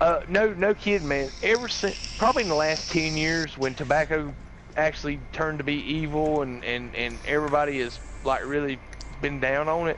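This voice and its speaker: A man speaks with a Southern US accent and a fairly high pitch. His pace is moderate and his pitch varies in an ordinary way. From US South, rural North Carolina. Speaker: gaming streamer. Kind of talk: casual chat. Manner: halting.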